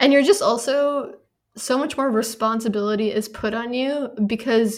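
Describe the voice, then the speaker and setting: With fairly even intonation, an unremarkable speaking voice goes along at a moderate pace. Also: woman. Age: 20s. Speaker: podcast co-host. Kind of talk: casual chat.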